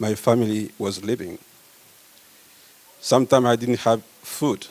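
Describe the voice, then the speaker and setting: Noticeable background noise is present. Over it, a man speaks. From Congo. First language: French. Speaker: medical researcher. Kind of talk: conference talk.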